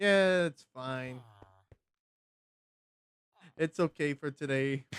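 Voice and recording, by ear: At a very slow pace, the voice has a clear, smooth tone and ordinary pitch variation, with a dry, close sound and no echo.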